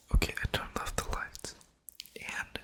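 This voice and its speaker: A whisper moves at a moderate pace through noticeable background noise. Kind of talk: casual talk to camera. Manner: casual, chatty intro to camera.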